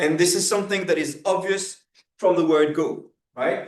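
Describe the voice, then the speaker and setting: The speaker is a man with a French accent. He talks at a moderate pace. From France. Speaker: professor. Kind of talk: lecture. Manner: halting, many fillers and repetitions.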